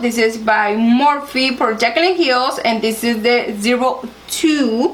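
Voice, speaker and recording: Against noticeable background noise, a woman with a Spanish accent speaks very slowly at a high pitch with ordinary pitch variation. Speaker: beauty vlogger. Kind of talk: makeup tutorial. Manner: halting, searching for words.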